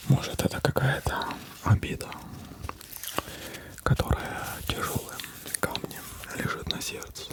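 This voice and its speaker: Whispering in a calm tone, a man speaks at a fairly slow pace with long, frequent pauses over noticeable background noise. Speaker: ASMR creator. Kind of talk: ASMR role-play as a psychologist, calming guidance. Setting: studio microphone, gameplay in the background. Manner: whispered, soft, calm.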